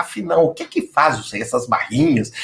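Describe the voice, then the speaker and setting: Somewhat breathy, a man's voice hurries along at a fairly quick pace. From Minas Gerais, Brazil. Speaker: project management executive, company founder. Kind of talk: interview conversation. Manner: hesitant, many fillers.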